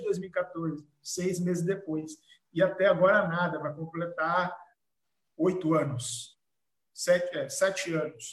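A fairly slow-paced male voice with ordinary pitch variation. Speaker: blog editor and event host. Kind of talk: live-streamed panel discussion.

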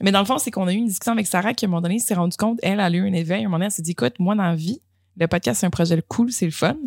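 A woman speaks at a very fast pace with a Quebec accent. Her pitch is medium and her intonation lively. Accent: Québécois French. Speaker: podcast host. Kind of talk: casual chat.

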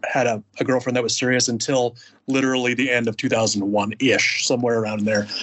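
With noticeable background noise behind him, a man speaks at a medium pitch and a fairly quick pace, in a monotone, flat intonation with very even loudness. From Alaska. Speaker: Marine Corps veteran. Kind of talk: casual chat. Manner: halting.

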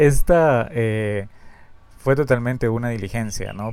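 The voice belongs to a man. Its pitch falls in the medium range. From Peru. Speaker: podcast host, fan collector. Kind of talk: casual solo podcast monologue. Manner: halting, with frequent fillers and repetitions.

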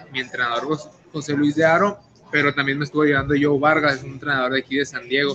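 A man's flat, monotone delivery at a fairly quick pace, with noticeable background noise. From Tijuana, Mexico. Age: 20s. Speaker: professional boxer. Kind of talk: interview.

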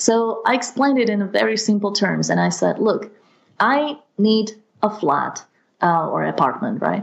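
In a Slovak accent, a woman talks at a fairly slow pace, her loudness very even throughout. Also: fairly high pitch for a woman, ordinary pitch variation. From Slovakia. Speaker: language mentor. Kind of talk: interview.

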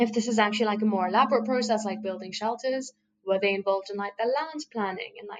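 At a very fast pace, a woman talks with an Iranian accent. Her pitch is fairly high and her intonation fairly even. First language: Farsi. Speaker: podcast host and interpreter. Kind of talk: casual podcast conversation.

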